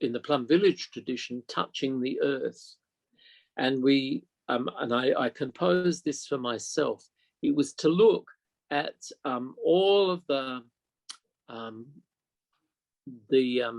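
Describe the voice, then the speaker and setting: Speaking very slowly with long, frequent pauses, a man uses a fairly high pitch and ordinary pitch variation. The sound is dry and close, with no echo. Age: 70s. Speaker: meditation teacher. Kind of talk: dharma talk. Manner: halting.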